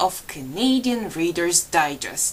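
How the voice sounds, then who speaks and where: Using a Polish accent, a woman speaks at a very slow pace with very wide pitch swings. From Poland. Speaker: storyteller. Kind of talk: live storytelling. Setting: library event with audience.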